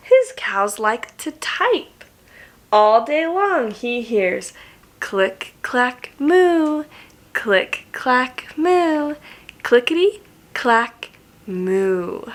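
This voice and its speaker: A woman's put-on character voice, high-pitched and very slow. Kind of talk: bedtime story. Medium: read story. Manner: warm, slow, questioning.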